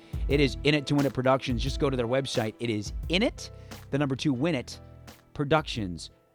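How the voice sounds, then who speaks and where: A medium-pitched man with an American accent, ordinary pitch variation and a fairly quick pace, over music in the background. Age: 30s. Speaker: sports radio host. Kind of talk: sports talk radio show. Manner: conversational, opinionated.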